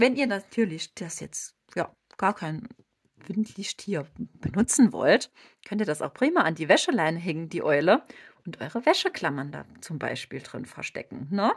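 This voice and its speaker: A woman with a slight Saarland accent speaks at a medium pitch, somewhat breathy, with very wide pitch swings and big swings in loudness, in a dry, close sound with no echo. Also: moderate pace. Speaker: crochet tutorial creator. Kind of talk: tutorial. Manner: casual, chatty.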